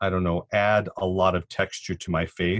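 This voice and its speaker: With a Californian accent, the voice stays monotone and flat in a dry, close sound with no echo, on a very clean recording with a silent background. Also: man. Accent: Californian American English. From Southern California, Cuban family. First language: Spanish. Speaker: sociology professor. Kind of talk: podcast interview. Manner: thoughtful, with many fillers.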